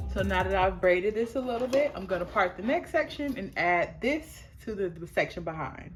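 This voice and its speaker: A woman with an American accent, medium in pitch, with very wide pitch swings, a fairly quick pace, hardly any pauses and music in the background. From United States. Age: 30s. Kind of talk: casual talk to camera, hair tutorial.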